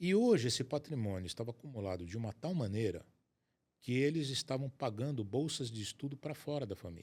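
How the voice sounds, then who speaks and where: A man speaks at a medium pitch in a plain, everyday voice, with lively intonation. The recording is very clean, with a silent background. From Brazil, Rio de Janeiro state. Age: 60s. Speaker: asset protection and estate planning specialist. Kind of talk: interview conversation.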